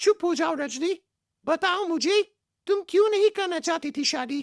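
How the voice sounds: A squeaky, cartoonish character voice from a woman, pitched extremely high. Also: moderate pace.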